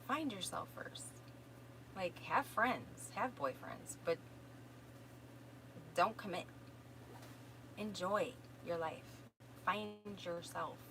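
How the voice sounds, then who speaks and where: A woman in a Minnesotan accent at a very slow pace, with long, frequent pauses and noticeable background noise. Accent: Minnesota. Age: 50s. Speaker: self-help course teacher and energy healer. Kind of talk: live stream answering viewer questions. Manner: casual, conversational.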